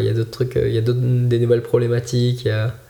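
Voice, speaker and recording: This man's voice sits at a medium pitch, somewhat breathy, with a dark, mellow tone. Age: 20s. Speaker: ultimate frisbee coach. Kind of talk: casual chat.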